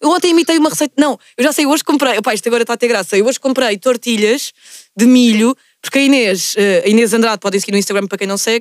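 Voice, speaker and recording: Dry and close with no echo, a woman's high-pitched voice moves at a very fast pace with ordinary pitch variation. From Portugal, Lisbon area (Margem Sul). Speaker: podcast host. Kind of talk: casual chat. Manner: animated.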